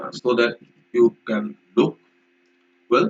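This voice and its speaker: A man's voice with vocal fry. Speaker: vocabulary teacher. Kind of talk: lecture.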